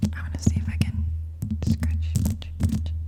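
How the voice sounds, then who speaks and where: A woman speaks at a moderate pace with a very deep, low pitch. Noticeable background noise can be heard behind her. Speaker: ASMR creator. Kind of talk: ASMR whisper ramble. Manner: whispered.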